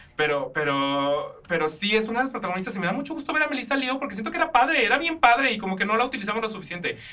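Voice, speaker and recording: A man speaks in an extremely high, raised and projected voice with an animated tone. His pace is very fast and his pitch swings very widely. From Mexico. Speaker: podcast host. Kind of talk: casual film and theatre reviews. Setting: studio.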